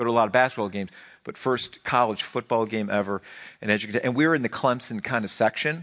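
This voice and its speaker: A man's medium-pitched voice at a very fast pace, with lively intonation. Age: 40s. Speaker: pastor. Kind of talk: sermon. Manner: halting.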